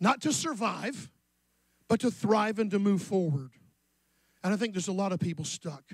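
A man speaks at a fairly quick pace with lively intonation. The sound is dry with no echo, and the background is quiet. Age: 60s. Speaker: pastor. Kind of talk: sermon. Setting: church. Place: church. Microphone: handheld.

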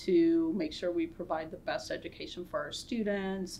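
The speaker has an American accent and fairly even intonation. Light background noise sits under the voice. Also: woman. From US Midwest, northwest Ohio. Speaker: pharmacy school dean, scientist. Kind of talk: interview conversation. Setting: Zoom webinar. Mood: warm, positive. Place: office.

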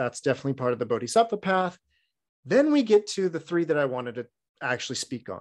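A man's fairly high voice in a Californian accent, fairly quick, with very wide pitch swings. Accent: Californian American English. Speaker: Buddhist dharma teacher. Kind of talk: dharma talk. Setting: online video session. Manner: humorous storyteller; casual, frequent filler words.

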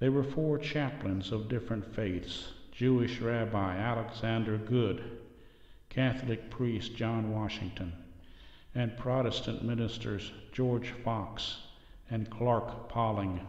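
At a very slow pace, a man speaks with a medium pitch, fairly even intonation and a solemn tone. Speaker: narrator. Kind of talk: history documentary narration. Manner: solemn, measured and formal, with a steady reverent tone that builds drama.

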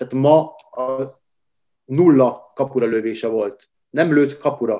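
At a very slow pace, a man with a medium pitch and a dark, mellow tone speaks with fairly even intonation. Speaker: handball pundit. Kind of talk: casual chat.

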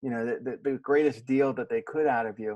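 Recorded with a dry sound, no echo and a quiet background, a man speaks at medium pitch. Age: 50s. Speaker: podcast host. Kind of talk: interview. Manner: halting, many repeated words. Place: home room.

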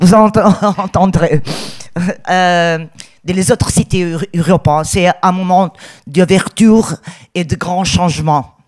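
The speech is very slow with fairly even intonation, and the sound is dry and close, with no echo. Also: woman. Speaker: theatre director and actress. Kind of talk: conference talk. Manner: halting, searching for words.

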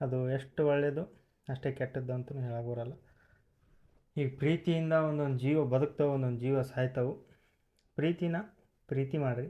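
The background stays quiet. Intonation is fairly even, over a dark, mellow tone. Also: man, fairly high pitch for a man. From North Karnataka, Bijapur district. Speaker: couple vlogger. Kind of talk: casual Q&A vlog.

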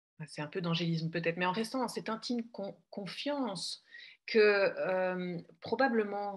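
A woman talks fairly slowly. Nothing stirs in the quiet background. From Belgium. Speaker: coach. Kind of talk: casual conversation. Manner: halting, repeats words.

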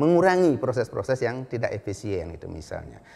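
A man with a dark, mellow tone talks at a very fast pace, his pitch swinging very widely. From Bali, Indonesia (Karangasem); Bali, Indonesia. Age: 60s. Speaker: animal science professor; university professor. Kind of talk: lecture. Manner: halting. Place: office. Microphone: lapel.

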